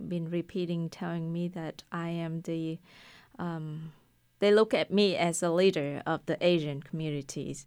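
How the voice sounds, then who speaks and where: A woman's fairly low voice with a Vietnamese accent, fairly slow and flat in a monotone, on a very clean recording with a silent background. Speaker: restaurant owner. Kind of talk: casual interview. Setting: studio. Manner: talkative.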